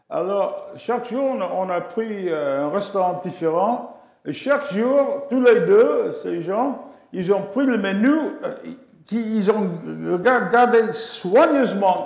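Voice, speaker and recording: A man of high pitch with an English accent, very slow pace and lively intonation, amid audible room echo. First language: English (speaking French). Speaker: astrophysicist. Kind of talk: memorial lecture. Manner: halting.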